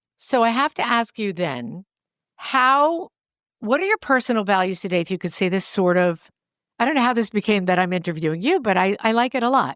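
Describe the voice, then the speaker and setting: A woman with an East Coast US accent, fairly quick and full of very wide pitch swings, in a dry, close sound with no echo. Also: medium pitch for a woman. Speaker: podcast co-host. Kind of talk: casual chat.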